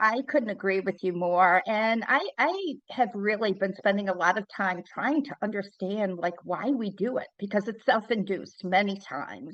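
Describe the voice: At a moderate pace with few pauses, a woman speaks in a medium pitch with lively intonation and a fairly bright tone.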